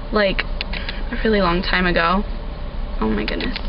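Noticeable noise fills the background. Her intonation, a woman's, stays fairly even. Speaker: vlogger. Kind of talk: casual vlog chat. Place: car. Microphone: phone near.

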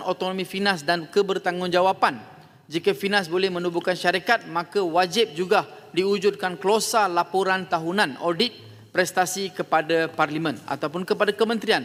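At a moderate pace, a man with a high pitch holds fairly even intonation and very even loudness. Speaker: member of parliament. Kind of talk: parliament debate speech, formal oratory. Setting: parliament hall. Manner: formal, measured; earnest, persuasive, rounding off with a polite closing appeal.

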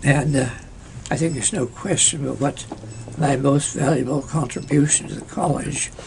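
Over noticeable background noise, a man speaks at a moderate pace with a fairly high pitch and fairly even intonation. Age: 80s+. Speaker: former college historian. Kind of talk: interview answer.

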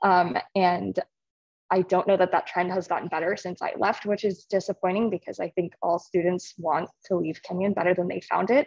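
A woman speaks at a moderate pace with fairly even intonation. The sound is dry with no echo, over a quiet background. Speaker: congressional staffer, audience member; audience member. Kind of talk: audience question. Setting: video call from a hallway, echoey. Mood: earnest, mildly concerned. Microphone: video call.

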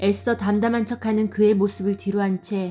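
Music plays in the background as a woman talks. She uses a medium pitch at a moderate pace. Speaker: storyteller. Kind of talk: story narration.

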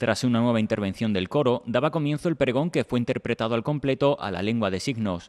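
A man uses a normal speaking voice at a medium pitch, with lively intonation and a fairly quick pace. The sound is dry and close, with no echo. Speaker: local news reporter. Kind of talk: news reading, scripted narration. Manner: formal, measured.

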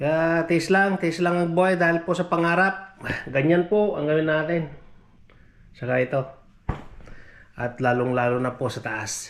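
Noticeable background noise sits behind a man speaking at a fairly slow pace with long, frequent pauses. His voice is high for a man, with ordinary pitch variation. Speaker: vlogger, OFW domestic worker. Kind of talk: casual vlog narration.

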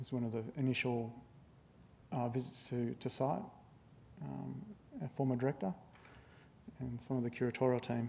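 At a moderate pace, a man speaks at medium pitch with ordinary pitch variation and long, frequent pauses over light background noise. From Australia. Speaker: museum registrar. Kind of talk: public talk. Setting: stage with audience. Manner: halting. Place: hall. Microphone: lapel.

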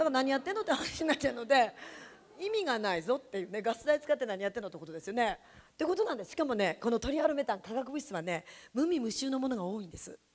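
An animated woman with a high pitch talks at a very fast pace, with very wide pitch swings and big swings in loudness. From Japan, Yamanashi; Japan. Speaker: direct sales distributor, former teacher. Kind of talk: sales seminar talk. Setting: stage with audience. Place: meeting room. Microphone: handheld.

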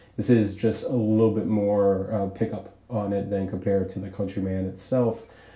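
Room echo is audible as a man speaks at a fairly low pitch. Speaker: DJ reviewing microphones. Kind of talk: tutorial. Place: home room. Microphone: pa.

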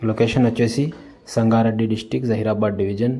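At a fairly quick pace, a man speaks in a dark, mellow, fairly low voice with little pitch movement.

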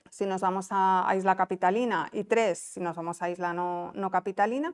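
A woman speaks at medium pitch and a moderate pace with fairly even intonation. The background is quiet. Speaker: investment promotion officer. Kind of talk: conference talk. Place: meeting room.

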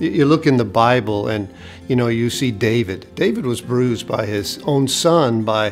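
Faint music plays behind a man talking at a fairly slow pace. His pitch varies in an ordinary way. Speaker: pastor. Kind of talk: devotional sermon talk to camera. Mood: warm, earnest. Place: studio.

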